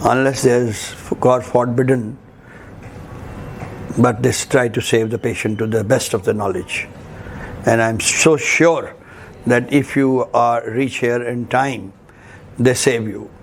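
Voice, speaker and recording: Through noticeable background noise, a man with a medium pitch and fairly even intonation talks at a fairly slow pace with long, frequent pauses. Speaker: trade and commerce advisor. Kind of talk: patient family testimonial.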